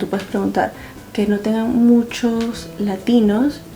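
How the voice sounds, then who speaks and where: A woman at medium pitch, monotone and flat, with noticeable background noise. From Venezuela. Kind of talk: casual talk to camera.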